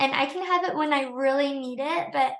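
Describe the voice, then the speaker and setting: A woman speaks in a high pitch with a bright, sharp tone, and room echo is audible. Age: 20s. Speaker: teacher. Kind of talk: tutorial. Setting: livestream. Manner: soft-spoken.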